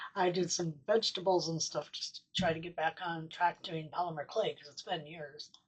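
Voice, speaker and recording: A woman with an American accent talks at a moderate pace. Her voice is fairly low and somewhat breathy. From US Midwest, Sioux Falls, South Dakota. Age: 60s. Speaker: miniaturist YouTuber. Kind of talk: casual vlog talk. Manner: hesitant, many fillers.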